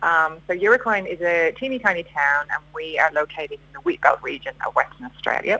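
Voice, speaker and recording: Speaking at a moderate pace, a woman has a fairly low pitch and a bright, sharp tone. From Ireland, Dublin. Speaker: rural community resident. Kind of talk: radio interview.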